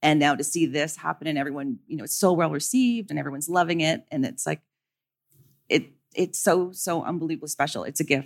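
Very fast and full of vocal fry, a woman speaks at a very deep, low pitch. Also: ordinary pitch variation. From Canada. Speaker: assistant costume designer. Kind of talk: live interview. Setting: stage with audience.

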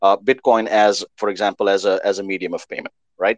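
In an unremarkable speaking voice, a man talks at a moderate pace with a fairly low pitch. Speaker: podcast host. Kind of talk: interview intro and chat.

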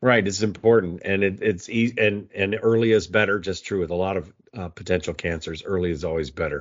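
A man with an ordinary speaking voice talks at a fairly quick pace with hardly any pauses, his fairly low pitch showing ordinary pitch variation. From US, Navy brat (South, Cuba, Hawaii). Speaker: agriculture podcast host, editor. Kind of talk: casual interview chat.

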